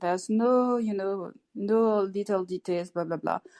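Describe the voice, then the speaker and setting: A woman with a French accent speaks at a moderate pace and medium pitch, with ordinary pitch variation and a dry, close sound with no echo. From France. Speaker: participant. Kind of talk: casual group chat. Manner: halting, repeats words.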